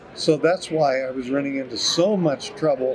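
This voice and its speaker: Noticeable background noise sits behind a man's fairly high voice. He keeps a moderate pace with ordinary pitch variation. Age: 70s. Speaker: retired horticultural scientist. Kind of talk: interview. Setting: conference. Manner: halting.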